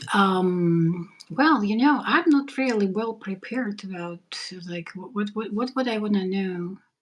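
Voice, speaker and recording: Speaking at a fairly slow pace, a woman has a non-native accent. Her loudness swings widely. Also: medium pitch for a woman, lively intonation. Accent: foreign. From former USSR. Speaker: live stream host, nurse. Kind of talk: casual chat. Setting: live stream.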